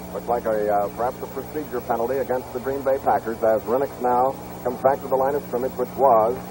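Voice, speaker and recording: Noticeable background noise behind a fairly quick, medium-pitched man's voice. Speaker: football play-by-play announcer. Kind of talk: live football play-by-play commentary. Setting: vintage television broadcast.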